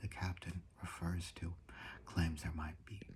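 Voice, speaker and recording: Soft-spoken delivery at a fairly slow pace. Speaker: amateur biblical language commentator. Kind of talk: ASMR-style casual lecture.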